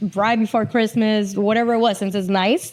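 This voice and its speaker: With a Puerto Rican accent, a woman speaks at medium pitch. Her intonation stays fairly even. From Puerto Rico, south (Jauco, Lajas). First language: Spanish. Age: 40s. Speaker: TV executive producer. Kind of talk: casual podcast interview.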